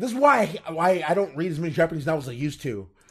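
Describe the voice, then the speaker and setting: A man with an American accent talks fairly quickly in an animated tone. His pitch swings very widely. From Louisiana, US. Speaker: web novel podcaster. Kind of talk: casual chat.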